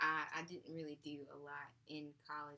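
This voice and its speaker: A woman's bright, sharp tone. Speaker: podcast co-host. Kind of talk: casual chat.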